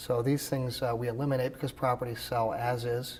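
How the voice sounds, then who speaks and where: A man speaks at a fairly quick pace with a medium pitch. It is a normal speaking voice. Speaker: expert auctioneer. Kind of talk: interview answer. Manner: conversational, with filler words.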